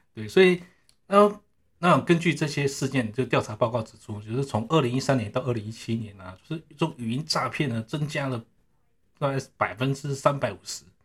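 This man's medium-pitched voice sounds somewhat breathy. His intonation is lively and his pace fairly quick. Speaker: network engineer. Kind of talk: casual interview. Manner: halting, many fillers.

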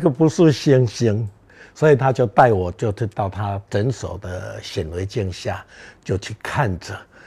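Speaking very slowly, a man sounds somewhat breathy as his pitch swings very widely. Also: big swings in loudness, very clean recording, silent background. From Taiwan, Beigang (Yunlin). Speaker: artist and gardening speaker. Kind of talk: public talk. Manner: hesitant with many fillers.

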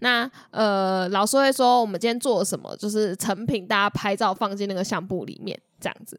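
At a moderate pace and with hardly any pauses, a woman at medium pitch speaks in a Taiwanese accent with ordinary pitch variation on a very clean recording with a silent background. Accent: Taiwanese Mandarin. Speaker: podcast co-host. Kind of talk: casual chat.

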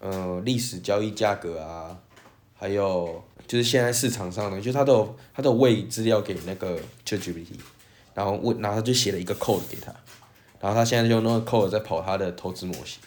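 In a Taiwanese accent, a man talks at a fairly quick pace. His pitch is fairly low, with ordinary variation. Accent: Taiwanese Mandarin. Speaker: podcast co-host. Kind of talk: casual chat.

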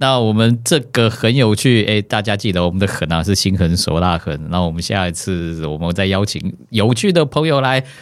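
Against a silent background in a very clean recording, a man with a normal speaking voice talks at a moderate pace, his fairly low pitch moving with lively intonation. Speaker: podcast host, life creativity coach. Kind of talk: casual interview chat.

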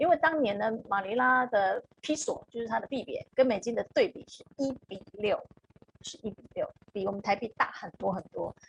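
Big swings in loudness from a woman speaking at a moderate pace. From Taiwan. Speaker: HR consultant. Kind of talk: live-stream interview.

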